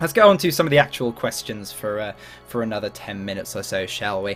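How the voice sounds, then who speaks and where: The speaker has a southern English accent. The intonation is lively. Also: man. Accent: well-spoken southern English. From London, southeast England. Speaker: gaming YouTuber. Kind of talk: Q&A casual monologue. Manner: casual with many fillers.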